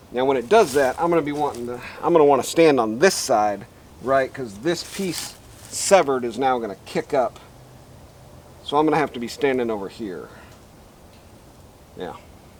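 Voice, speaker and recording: A man's medium-pitched voice at a moderate pace, with lively intonation and long, frequent pauses. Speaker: DIY metalworking video host. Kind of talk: tutorial. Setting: outdoors. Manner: loud.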